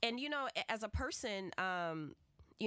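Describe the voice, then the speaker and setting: This woman has an American accent. Her tone is animated. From US South, New Orleans. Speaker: YouTube talk show host and educator. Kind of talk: casual chat. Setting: radio studio.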